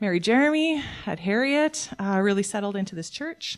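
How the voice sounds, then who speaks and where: This woman talks at a medium pitch and a moderate pace with a Canadian accent. It is a normal speaking voice. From Alberta, Canada. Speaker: worship leader and lay preacher. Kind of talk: sermon. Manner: casual, conversational with fillers.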